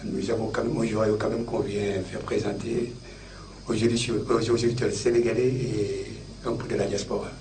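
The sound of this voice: At a moderate pace, a man speaks in a fairly low pitch with little pitch movement, and audible room echo surrounds him.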